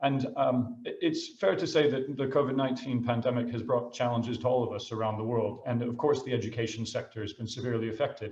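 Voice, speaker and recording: A somewhat breathy man at medium pitch with an American accent, at a very fast pace. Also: fairly even intonation, hardly any pauses. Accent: American, noticeable to British listeners. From United States. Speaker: school headmaster. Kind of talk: presentation talk. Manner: halting, many fillers.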